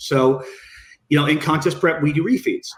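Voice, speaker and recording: A man's voice, fairly high in pitch. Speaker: bodybuilding coach. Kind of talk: podcast interview. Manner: fast.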